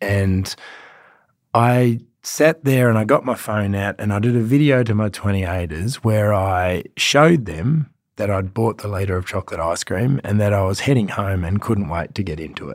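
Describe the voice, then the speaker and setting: With an Australian accent, a man speaks at a fairly low pitch. The recording is very clean and the background silent. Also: ordinary pitch variation, moderate pace. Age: 40s. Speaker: fitness trainer and podcast host. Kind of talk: motivational monologue.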